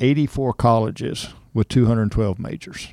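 Speaking with a Texan accent, a man has a dark, mellow tone at a medium pitch. The recording is very clean, and the background is silent. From Texas, Cypress near Houston. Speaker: rodeo board chairman. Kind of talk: interview.

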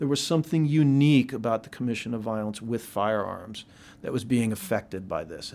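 In a very clean recording with a silent background, a man with an American accent uses a normal speaking voice at medium pitch, with lively intonation and a fairly quick pace. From Philadelphia. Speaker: epidemiologist. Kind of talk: interview. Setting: office.

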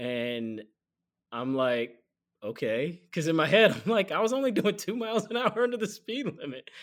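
At a moderate pace, a man with an American accent talks in a high voice with very wide pitch swings. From Atlanta, US South. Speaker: sports reporter. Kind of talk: casual interview chat.

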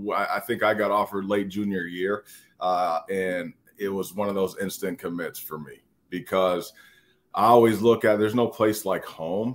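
A man with an American accent speaks at a fairly low pitch and a moderate pace. His is an unremarkable speaking voice with fairly even intonation. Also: very clean recording, silent background. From Minnesota, Wayzata. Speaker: former college football player. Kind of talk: interview.

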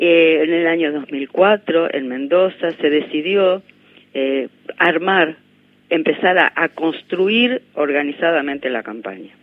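A woman speaks at a very slow pace in a fairly low pitch. Her intonation is lively. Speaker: sociologist and activist. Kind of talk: radio interview.

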